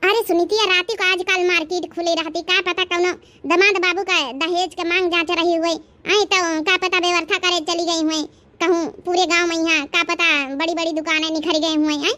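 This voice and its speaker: A woman does a squeaky, cartoonish character voice at an extremely high pitch. Her intonation stays monotone and flat. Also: fairly quick pace. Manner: gossipy, insistent.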